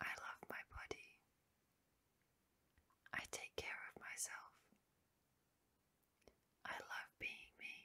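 Whispering at a very slow pace, a woman uses a soothing tone with long, frequent pauses. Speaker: ASMR sleep hypnosis guide. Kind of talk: sleep hypnosis with affirmations. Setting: studio, close microphone. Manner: whispered, soothing, slow. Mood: calm, soothing, loving.

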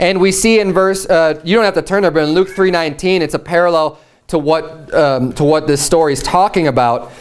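A man speaks at a fairly quick pace in a high voice. His loudness stays very even, with ordinary pitch variation. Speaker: Baptist preacher. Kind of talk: sermon. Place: church.

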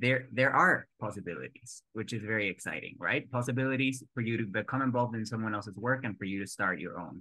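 Speaking at a very fast pace with hardly any pauses, a man with a medium-pitched voice has a bright, sharp tone. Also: ordinary pitch variation. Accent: Spanish. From Mexico. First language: Spanish. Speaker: actor. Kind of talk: interview answer.

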